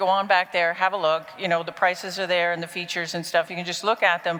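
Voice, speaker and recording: Over noticeable background noise, a woman talks in an animated tone. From Canada, Toronto. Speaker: business strategy consultant, conference speaker. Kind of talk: conference talk. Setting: stage with audience.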